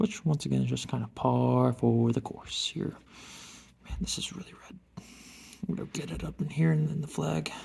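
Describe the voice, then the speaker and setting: A man whispers at a moderate pace, with long, frequent pauses. His loudness swings a lot. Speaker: woodworking hobbyist vlogger. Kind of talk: casual tutorial narration while working. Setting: garage workshop. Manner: whispering.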